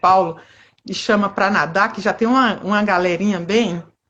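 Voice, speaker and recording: Her pitch is medium for a woman, and she is somewhat breathy. She speaks at a moderate pace. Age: 50s. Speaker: amateur street runner. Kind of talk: interview.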